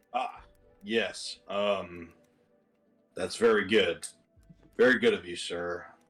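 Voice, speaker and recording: Over faint background music, a man does a put-on character voice, raspy and medium in pitch, at a fairly slow pace with long, frequent pauses. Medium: actual play. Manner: polite, formal.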